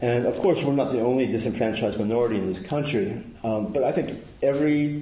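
Audible room echo surrounds a man's voice. He has a medium pitch and ordinary pitch variation. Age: 60s. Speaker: Buddhist community member giving a talk. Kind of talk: dharma talk to a group.

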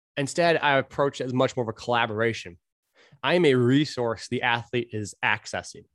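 Dry and close with no echo, a man's medium-pitched voice moves at a fairly quick pace with ordinary pitch variation. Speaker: strength coach and podcast host. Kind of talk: solo podcast monologue. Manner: fast talker; rambling, mutters when speaking fast.

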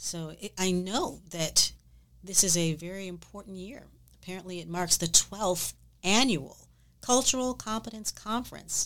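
A woman speaks at a moderate pace and medium pitch in a plain, everyday voice, with ordinary pitch variation and big swings in loudness, on a very clean recording with a silent background. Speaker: podcast host. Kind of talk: interview on a business podcast.

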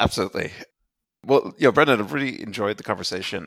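A man speaks with noticeable vocal fry. The recording is very clean, with a silent background. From Ireland, raised mostly in Europe. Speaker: podcast host. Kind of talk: interview.

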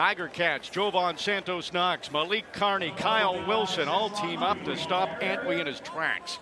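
With noticeable background noise behind him, a man in a raised, projected voice of high pitch speaks at a fairly slow pace with hardly any pauses and fairly even intonation. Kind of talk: live play-by-play sports commentary.

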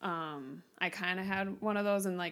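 A woman speaks with a Minnesota accent at a medium pitch. The recording is very clean, the background silent. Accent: Upper Midwest (Minnesota) American. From Minnesota, Twin Cities suburbs. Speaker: teacher. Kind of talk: casual interview.

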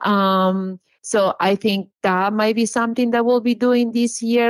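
In a Peruvian accent, a woman with a fairly high pitch talks fairly slowly in a monotone, flat intonation, with a dry, close sound and no echo. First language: Spanish. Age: 40s. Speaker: social media influencer and small business owner. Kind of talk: casual interview chat.

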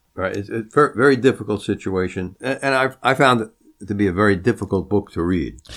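A man's fairly low-pitched, normal speaking voice, fairly quick in pace, with ordinary pitch variation. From Long Island, New York. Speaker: podcast host. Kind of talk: interview.

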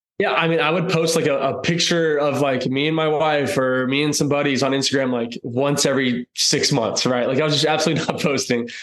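At a fairly quick pace with hardly any pauses, a man with an American accent speaks in a fairly high voice, his intonation fairly even and his loudness very even. Noticeable background noise and audible room echo fill the recording. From Texas, North Austin. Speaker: country singer. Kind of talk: casual interview.

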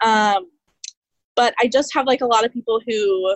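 Using an unremarkable speaking voice, a woman with an American accent talks at a moderate pace in a fairly high pitch with ordinary pitch variation. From Kansas City. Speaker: family and boudoir photographer. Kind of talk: group coaching call.

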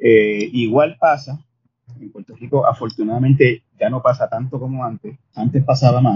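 Somewhat breathy, this man's voice moves at a moderate pace. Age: 50s. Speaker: journalist and columnist. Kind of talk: interview conversation.

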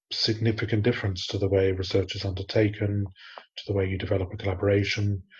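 A somewhat breathy man at a fairly low pitch, monotone and flat, at a fairly quick pace over a quiet background. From Australia. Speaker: podcast host, research manager. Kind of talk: casual chat.

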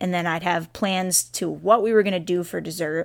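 A woman has an unremarkable speaking voice, with fairly even intonation and a fairly quick pace. The recording is very clean, with a silent background. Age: 20s. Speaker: podcast host, personal trainer. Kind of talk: personal storytelling monologue. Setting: home recording.

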